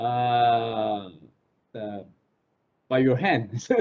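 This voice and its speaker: This is a man speaking with a Korean accent. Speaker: professor. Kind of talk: online class Q&A. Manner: halting.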